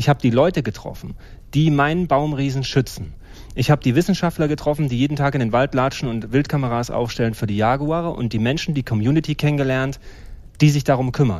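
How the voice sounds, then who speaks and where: The speaker talks at a very fast pace in a Thuringian accent. Pitch varies in an ordinary way. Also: man, fairly high pitch for a man. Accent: East German (Thuringian) dialect. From eastern Germany, Jena. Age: 40s. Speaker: marine biologist and conservationist. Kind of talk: casual interview chat.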